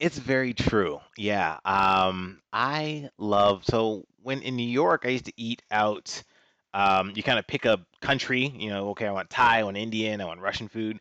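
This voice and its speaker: Against a quiet background, a man with an American accent has an ordinary speaking voice, fairly low in pitch with ordinary pitch variation, in a dry, close sound with no echo. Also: moderate pace. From Washington, D.C. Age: 30s. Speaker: finance professional and martial artist. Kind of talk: interview.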